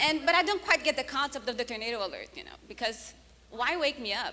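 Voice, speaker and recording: A woman speaks in a raised, projected voice at a fairly quick pace with ordinary pitch variation. Noticeable background noise runs underneath. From Brazil. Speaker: comedian. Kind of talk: stand-up.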